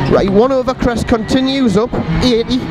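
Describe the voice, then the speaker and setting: Loud background noise with a dry sound and no echo. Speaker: rally co-driver. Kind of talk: rally pace notes read aloud at speed from an in-car notebook. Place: car. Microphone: helmet.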